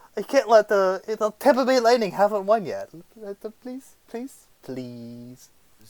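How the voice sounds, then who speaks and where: Fairly slow delivery with lively intonation and big swings in loudness, in a dry, close sound with no echo. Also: man, high pitch for a man. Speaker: hockey podcast host. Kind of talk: casual chat. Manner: animated.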